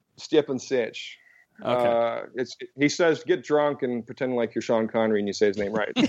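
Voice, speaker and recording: In an ordinary speaking voice with a General American accent, a man of medium pitch talks at a fairly quick pace with ordinary pitch variation. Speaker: comics writer and publishing executive. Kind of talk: casual interview chat.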